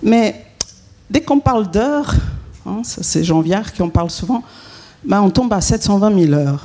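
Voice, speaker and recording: Against noticeable background noise, a woman speaks with a Swiss accent. Her pace is moderate and her intonation lively. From Switzerland. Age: 50s. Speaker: consultant and author. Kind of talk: conference talk. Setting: conference hall with audience.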